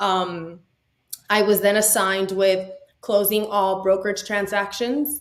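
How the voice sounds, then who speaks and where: A woman speaks with a Spanish accent at a medium pitch and a fairly slow pace. Her intonation is fairly even, her loudness very even, and the room echo is audible. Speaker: boating industry business consultant. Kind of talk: podcast interview.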